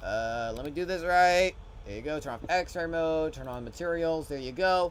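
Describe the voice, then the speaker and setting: A loud, high-pitched male voice at a fairly quick pace, with ordinary pitch variation. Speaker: streamer and hobby game developer. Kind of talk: live stream tutorial-style showcase. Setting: live stream from home. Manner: casual, halting with many fillers.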